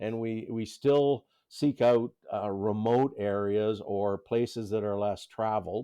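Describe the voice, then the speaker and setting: A man speaks in a dark, mellow tone at medium pitch. Nothing much is heard in the quiet background. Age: 60s. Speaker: outdoor gear maker. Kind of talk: casual chat.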